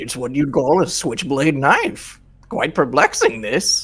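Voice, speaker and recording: Delivered in a put-on character voice, the speech moves at a fairly slow pace in a low-to-middle pitch. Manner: perplexed, pompous.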